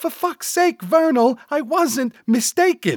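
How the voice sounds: A man speaks slowly in a put-on character voice, extremely high-pitched with big pitch swings, on a very clean recording with a silent background and a dry, close sound with no echo.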